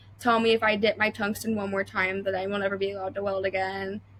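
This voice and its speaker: With an American accent, the speaker's intonation stays monotone and flat. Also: woman. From Ohio, near Cleveland. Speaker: welder. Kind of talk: podcast interview. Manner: casual, many fillers.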